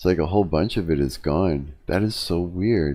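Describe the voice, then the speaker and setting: Recorded very cleanly with a silent background, a man talks at a fairly slow pace in a very deep, low pitch. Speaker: musician. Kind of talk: casual live stream talk.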